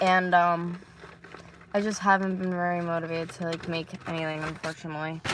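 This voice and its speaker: With light background noise and a dry sound with no echo, a woman speaks in a fairly low pitch and a monotone, flat intonation. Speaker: vlogger. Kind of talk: casual vlog chat. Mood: low, sad, discouraged. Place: car. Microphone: phone near.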